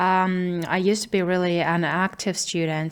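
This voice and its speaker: A woman with a non-native accent and monotone, flat intonation. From small town, unnamed country. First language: not English. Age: 20s. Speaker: video diarist. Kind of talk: personal video diary monologue. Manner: halting, hesitant with fillers.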